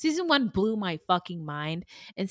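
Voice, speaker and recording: A woman's voice moves in very wide pitch swings. The sound is dry and close, with no echo. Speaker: true crime podcast co-host. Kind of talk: casual chat. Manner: laughs often.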